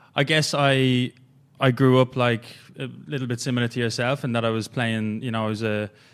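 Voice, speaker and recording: A man with an Irish accent, medium in pitch, fairly even in intonation and fairly quick in pace. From Ireland. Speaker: strength and movement coach. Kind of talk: casual podcast interview.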